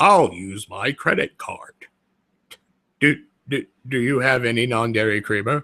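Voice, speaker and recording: A man's put-on character voice at medium pitch, moderate in pace, broken by long, frequent pauses. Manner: polite, mundane.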